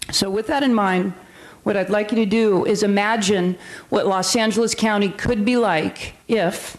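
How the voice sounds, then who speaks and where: At a moderate pace and with fairly even intonation, the speech holds a very even loudness over noticeable background noise. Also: woman, medium pitch for a woman. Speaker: sheriff's department lieutenant. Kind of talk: presentation to city council. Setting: council chamber on microphone.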